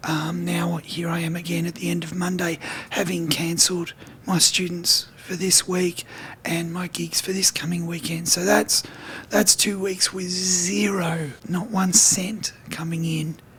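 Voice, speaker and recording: A man talks at a high pitch and a fairly slow pace, his breathy voice fairly even in intonation, over noticeable background noise. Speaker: guitar teacher and gigging musician. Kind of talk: video diary.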